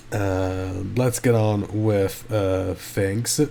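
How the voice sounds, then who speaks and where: Quiet and very slow, a man speaks at a fairly low pitch with fairly even intonation. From Italy. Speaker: gaming YouTuber. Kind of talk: casual commentary. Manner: hesitant, many fillers.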